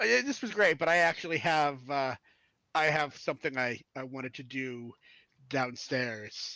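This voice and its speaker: Recorded very cleanly against a silent background, a put-on character voice talks at a moderate pace. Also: man, medium pitch for a man. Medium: actual play. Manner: witty, charming, mischievous.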